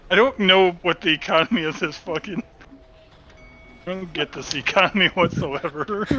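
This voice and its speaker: Noticeable background noise surrounds a man's high-pitched voice, dry and close with no echo, broken by long, frequent pauses. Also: ordinary pitch variation, moderate pace. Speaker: tabletop RPG player. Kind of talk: casual chat.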